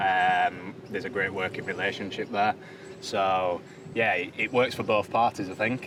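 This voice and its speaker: A man with a Yorkshire accent speaks at a moderate pace in a fairly low voice, his intonation fairly even. Noticeable background noise sits behind him. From Yorkshire, England. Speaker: caravan park worker. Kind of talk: interview.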